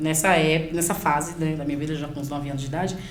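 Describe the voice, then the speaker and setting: A woman speaks at a fairly low pitch. Noticeable background noise and audible room echo surround her voice. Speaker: pastor and youth leader. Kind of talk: podcast interview, life testimony.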